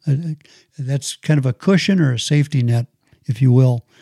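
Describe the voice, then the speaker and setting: A man speaks at a fairly quick pace with fairly even intonation, his dark, mellow tone somewhat breathy. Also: dry, close sound with no echo. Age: 60s. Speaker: podcast host, personal growth. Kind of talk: solo podcast talk on personal finance. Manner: halting, frequent repetitions and fillers.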